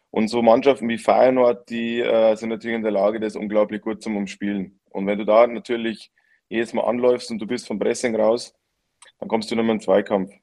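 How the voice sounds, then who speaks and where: A man of medium pitch talks at a moderate pace in a monotone, flat intonation. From Lower Bavaria, Germany. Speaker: professional footballer. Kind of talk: casual chat.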